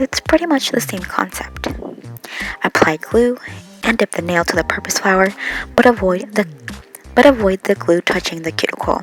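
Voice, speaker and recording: A woman speaks at a moderate pace, her pitch medium and her intonation lively. Music plays in the background. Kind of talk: casual talk to camera, nail tutorial. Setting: home.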